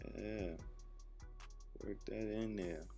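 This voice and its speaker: With music in the background, a man speaks at a very slow pace in a very deep, low voice with lively intonation. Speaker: rapper. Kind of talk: comedic voiceover narration of a makeup tutorial. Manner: laid-back, joking.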